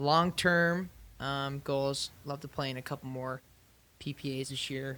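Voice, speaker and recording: With an American accent, the bright, sharp voice comes through on a very clean recording with a silent background. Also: man. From Utah. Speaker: amateur pickleball player. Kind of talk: podcast interview.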